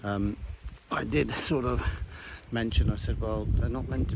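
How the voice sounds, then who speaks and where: A quiet man's voice, very deep and low, fairly slow with very wide pitch swings, over noticeable background noise. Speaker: outdoor vlogger. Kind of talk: casual vlog narration. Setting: outdoors.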